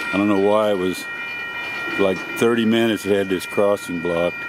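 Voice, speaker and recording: Over noticeable background noise, a man talks at a moderate pace in a dry sound with no echo. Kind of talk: casual commentary. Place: open country. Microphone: phone near.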